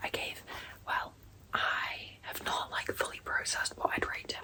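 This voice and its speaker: A woman whispers fairly slowly while noticeable background noise carries on. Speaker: book vlogger. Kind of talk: casual vlog.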